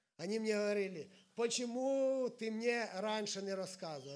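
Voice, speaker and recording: A man speaks in a high voice with ordinary pitch variation, and audible echo fills the room. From Ukraine, Sumy region. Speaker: evangelist preacher. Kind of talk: sermon.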